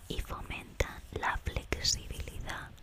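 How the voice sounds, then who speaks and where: Whispering comes from a woman. She goes at a very slow pace. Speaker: ASMR creator. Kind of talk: ASMR whispered talk to camera. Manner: whispered, soft-spoken, repetitive trigger words. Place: home room.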